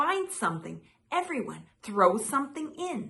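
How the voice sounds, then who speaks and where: This is a put-on character voice at a moderate pace. Its pitch swings very widely. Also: woman. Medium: read story.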